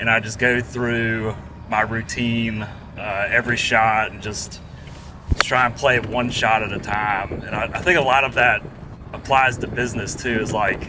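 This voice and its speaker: A man talks at a moderate pace with medium pitch and fairly even intonation. He has a slight Southern US accent, and there is noticeable background noise. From Georgia, US South. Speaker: restaurant franchise operator. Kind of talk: casual chat. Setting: outdoors on a golf course.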